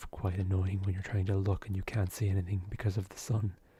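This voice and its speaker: The tone is relaxed. The recording is very clean, with a silent background. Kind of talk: ASMR gaming commentary. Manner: whispered; soft-spoken, relaxed.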